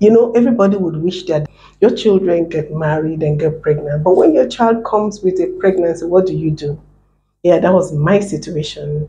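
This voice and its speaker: With a fairly low pitch and a dark, mellow, somewhat breathy tone, a woman talks at a moderate pace with ordinary pitch variation. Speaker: motivational channel host. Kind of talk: casual talk to camera.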